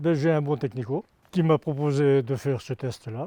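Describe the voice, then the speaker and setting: This man's voice has a dark, mellow tone. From Normandy, France. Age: 60s. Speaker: farmer. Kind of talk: testimony. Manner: halting, with repetitions and fillers.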